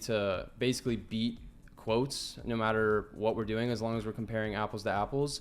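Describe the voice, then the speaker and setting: A man's medium-pitched voice in an American accent, monotone and flat, at a fairly quick pace. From United States. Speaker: fulfillment consultant. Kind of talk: casual business interview. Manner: filler-heavy, repeats words.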